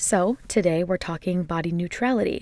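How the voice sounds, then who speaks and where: A woman's normal speaking voice at a medium pitch, with a moderate pace and ordinary pitch variation. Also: very clean recording, silent background. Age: 20s. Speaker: solo podcast host. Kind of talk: casual monologue.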